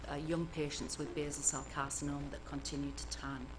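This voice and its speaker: Soft-spoken with an English accent, the voice carries audible room echo. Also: woman. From northern England, Cumbria. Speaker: cancer epidemiologist. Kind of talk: lecture. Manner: hesitant, many fillers.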